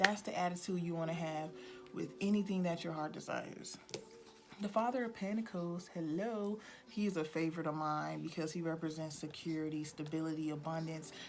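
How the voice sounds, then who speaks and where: Amid noticeable background noise and audible room echo, the speech runs at a fairly quick pace with ordinary pitch variation. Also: woman, fairly low pitch for a woman. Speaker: tarot reader. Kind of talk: tarot reading to camera. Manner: animated.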